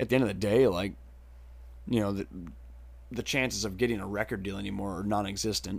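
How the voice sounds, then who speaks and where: A man's fairly low voice with vocal fry, an American accent and lively intonation, on a very clean recording with a silent background. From southwestern Wisconsin. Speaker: musician. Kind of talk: casual chat.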